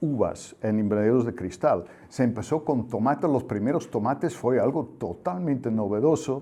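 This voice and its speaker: Lively intonation marks a man's dark, mellow voice of medium pitch at a moderate pace. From Netherlands. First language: Dutch (speaking Spanish). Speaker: agricultural technical expert. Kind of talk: interview. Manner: halting with fillers.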